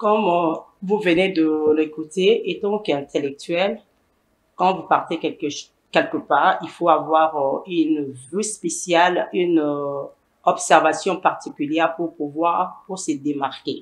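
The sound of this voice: A woman's low pitch, at a fairly slow pace with ordinary pitch variation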